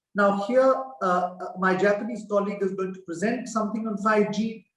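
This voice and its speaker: This man has a high-pitched voice and fairly even intonation. He speaks at a fairly quick pace. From India. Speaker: former diplomat. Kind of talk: panel presentation.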